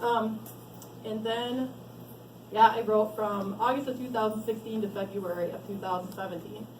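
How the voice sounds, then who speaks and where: There is noticeable background noise and audible room echo. A woman talks in a fairly high pitch with fairly even intonation. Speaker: author. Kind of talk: book launch talk. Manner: fast.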